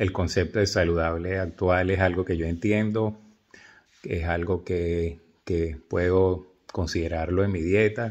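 A man talks at a fairly slow pace in a very deep, low voice. His intonation stays monotone and flat against a quiet background. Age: 60s. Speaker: video blogger. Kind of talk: casual monologue to camera. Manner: halting, many fillers. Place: home room. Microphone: phone near.

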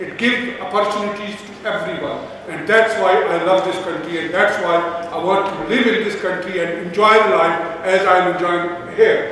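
Strong room echo surrounds a man's voice. He talks at a moderate pace over light background noise. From Pakistan. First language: Urdu or Punjabi. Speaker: event organizer and Labour councillor. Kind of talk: meeting host remarks. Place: hall. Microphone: camera far.

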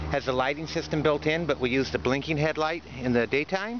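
Noticeable background noise runs under a man speaking at a fairly quick pace, the sound dry with no echo. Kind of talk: casual walkaround commentary. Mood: proud, friendly. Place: street. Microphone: phone near.

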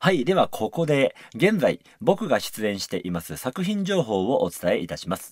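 Against a quiet background, a man speaks at a moderate pace with a dry sound and no echo. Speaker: musical actor and radio host; musical actor, radio host. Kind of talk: radio talk show. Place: studio.

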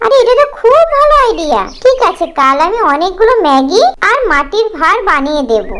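A woman's put-on character voice, extremely high-pitched and fairly bright, with big pitch swings at a fairly quick pace.

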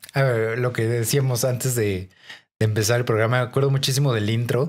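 In a very clean recording with a silent background, a man with a Mexican accent talks at a fairly quick pace, his medium-pitched voice holding fairly even intonation and very even loudness. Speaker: podcast co-host. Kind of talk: casual chat.

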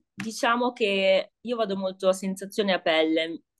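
A woman at a fairly slow pace, against a quiet background. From northern Italy, Piacenza. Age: 20s. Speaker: beauty therapist, course student. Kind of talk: casual interview about a course review. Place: home room. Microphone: video call.

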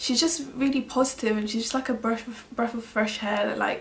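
A woman's pitch varies in an ordinary way as she speaks at a moderate pace. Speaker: beauty vlogger. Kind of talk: casual vlog chat. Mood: warm, appreciative. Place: home room. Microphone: camera far.

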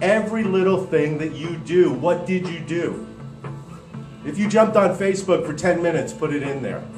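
Clear music plays in the background as a man speaks. His moderate pace comes with audible room echo. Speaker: speaker. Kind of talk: motivational talk. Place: hall. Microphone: handheld.

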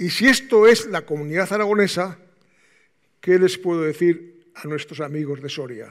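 Against a quiet background, a man with a high pitch talks with lively intonation and big swings in loudness. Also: moderate pace. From Aragon, Spain. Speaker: moderator and retired military doctor. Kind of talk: conference round table moderation. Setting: conference hall with audience. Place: hall.

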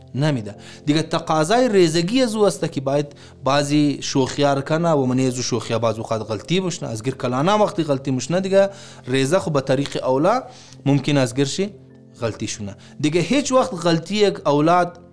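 A man talks at a moderate pace with faint music in the background. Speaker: speaker. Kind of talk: sermon-style advice talk. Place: home room.

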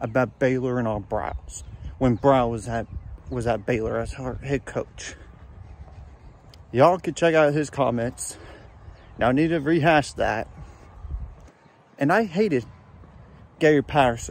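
With long, frequent pauses at a moderate pace, a man speaks with ordinary pitch variation in a dry sound with no echo. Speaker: sports fan vlogger. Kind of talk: casual vlog chat. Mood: incredulous, animated. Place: garden. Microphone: phone near.

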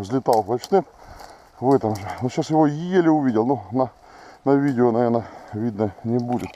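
Over light background noise, a man speaks at a moderate pace. His pitch variation is ordinary, and the sound is dry with no echo. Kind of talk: casual commentary. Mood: pleased, excited. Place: forest. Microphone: phone near.

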